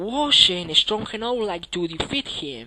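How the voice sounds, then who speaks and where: A non-native accent over noticeable background noise. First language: not English. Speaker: gamer. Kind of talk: gameplay commentary.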